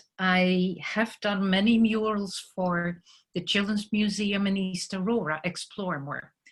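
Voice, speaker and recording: With a Dutch accent, a woman speaks at a medium pitch and a fairly slow pace, somewhat breathy and with ordinary pitch variation. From Netherlands. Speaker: muralist artist. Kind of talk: presentation talk. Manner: hesitant with fillers.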